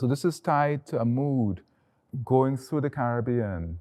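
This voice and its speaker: Against a quiet background, a man with a dark, mellow tone speaks at a fairly slow pace with lively intonation. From Guyana (Georgetown). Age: 60s. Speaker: artist. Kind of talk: gallery tour conversation. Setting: in a museum exhibition.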